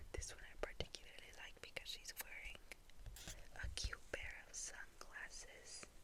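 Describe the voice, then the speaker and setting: A woman whispering at a moderate pace. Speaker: ASMR creator. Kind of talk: ASMR storytelling to camera, soft whisper. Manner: whispered, soft-spoken.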